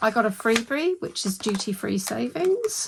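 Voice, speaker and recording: Noticeable background noise sits behind a woman who speaks at a moderate pace. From New Zealand. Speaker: budgeting vlogger. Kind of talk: casual vlog with haul and cash stuffing. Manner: animated.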